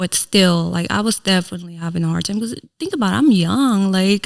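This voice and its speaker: A woman with a Filipino accent and ordinary pitch variation, on a very clean recording with a silent background. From Philippines, moved to US at 7-8. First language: Tagalog. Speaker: content creator and entrepreneur. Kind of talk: podcast interview, life story.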